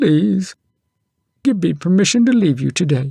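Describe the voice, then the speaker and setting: Putting on a character voice, a man speaks at a moderate pace in a high pitch with very wide pitch swings. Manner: sad, feigned tearful.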